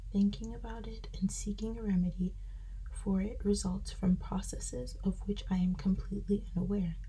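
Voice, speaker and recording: Whispering at a moderate pace is heard against noticeable background noise. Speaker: ASMR creator. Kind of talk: sleep reading of nonfiction. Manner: whispered.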